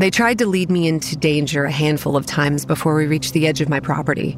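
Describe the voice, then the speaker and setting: Over noticeable background noise, a woman speaks at a very fast pace in a very deep, low pitch, her loudness very even. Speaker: voice actress playing narrator Kate. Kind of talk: horror fiction narration. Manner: hushed, brooding first-person storytelling, grave and measured, with dread building.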